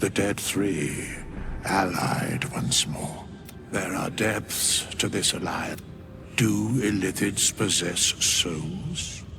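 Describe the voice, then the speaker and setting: A man puts on a character voice with a very deep, low pitch. He speaks very slowly over loud background noise. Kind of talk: archaic solemn speech. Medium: video game. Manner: grave, slow, cryptic.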